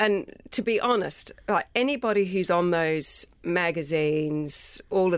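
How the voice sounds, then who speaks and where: With an Australian accent, a woman speaks at a fairly low pitch with ordinary pitch variation in a very clean recording with a silent background. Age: 40s. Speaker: winemaker and nurse. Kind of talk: casual chat.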